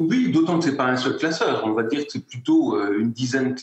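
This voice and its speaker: This man speaks with a Lorraine accent. His pitch is medium, with ordinary variation. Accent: Moselle (Lorraine) lilting. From France, Moselle. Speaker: award-winning entrepreneur. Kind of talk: interview. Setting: in-person at online ceremony. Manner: hesitant, many repetitions.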